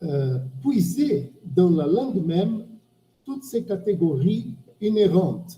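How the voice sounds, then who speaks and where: Long, frequent pauses break up very slow speech delivered with a Portuguese accent. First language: Portuguese (speaking French). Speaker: semiotics professor. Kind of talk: academic discussion. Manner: halting. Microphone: bad microphone.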